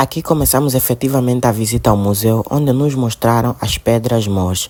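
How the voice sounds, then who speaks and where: In an Angolan accent, a man talks at a medium pitch and a moderate pace with ordinary pitch variation. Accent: Angolan Portuguese accent, noticeable. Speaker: student vlogger. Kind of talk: travel vlog narration and interview; interview. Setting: museum visit, on location.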